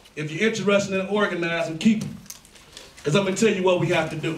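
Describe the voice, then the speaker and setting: Amid noticeable background noise and audible room echo, a man with an American accent speaks very fast at a high pitch with fairly even intonation. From East Cleveland, Ohio. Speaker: community activist. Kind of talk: public meeting speech. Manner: loud and fast usually.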